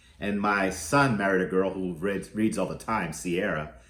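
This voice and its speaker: A man is talking. Room echo is audible. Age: 60s. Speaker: youth program arts teacher. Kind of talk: reading aloud to children. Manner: halting.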